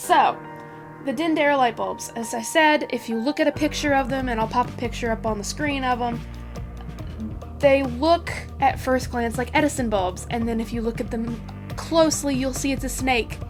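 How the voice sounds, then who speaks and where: With music in the background, a woman speaks at a moderate pace, leaving long, frequent pauses. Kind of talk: casual talk to camera.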